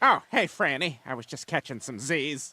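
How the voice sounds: This man uses a cartoonish character voice at a fairly high pitch and a moderate pace. The recording is very clean, with a silent background.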